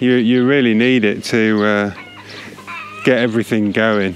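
Spoken at a slow pace with fairly even intonation, the voice sits over faint background noise. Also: man.

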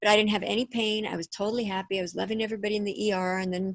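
A woman at a very fast pace, fairly even intonation, dry sound with no echo and a quiet background. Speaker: author and pleasure coach. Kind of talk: interview conversation. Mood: warm, upbeat. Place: home room. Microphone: video call.

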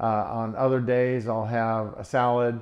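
A man speaks with monotone, flat intonation against a quiet background. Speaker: plant-based diet vlogger. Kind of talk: casual vlog chat. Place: kitchen.

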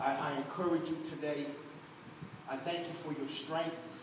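Fairly high pitch from a man, with audible room echo and noticeable background noise. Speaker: pastor. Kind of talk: Sunday church sermon, conversational and exhorting, with congregational call-and-response. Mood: warm, encouraging, emotive. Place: church. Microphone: camera far.

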